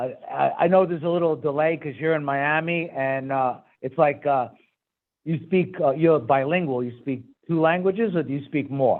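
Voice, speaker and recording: In a Brooklyn accent, a man speaks at a moderate pace with a fairly high pitch and ordinary pitch variation. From New York, Brooklyn. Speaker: talk show host. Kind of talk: interview.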